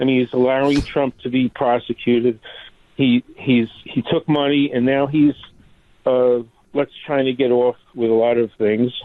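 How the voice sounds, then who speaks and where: A man with a New York accent talks at a moderate pace and medium pitch. His intonation is monotone and flat, and his loudness stays very even. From New York City (Staten Island). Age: 60s. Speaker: caller, physician. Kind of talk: call-in conversation. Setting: phone call. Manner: halting.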